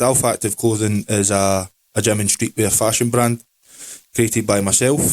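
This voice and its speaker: A man with a Scottish accent and fairly low pitch, in a dry, close sound with no echo. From Scotland. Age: 20s. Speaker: podcast co-host, clothing brand owner. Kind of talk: casual chat.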